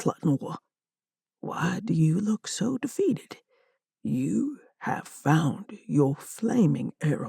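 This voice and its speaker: A booming put-on character voice from a woman, fairly low in pitch, with very wide pitch swings, a very slow pace and a dry, close sound with no echo. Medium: read story. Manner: formal, authoritative.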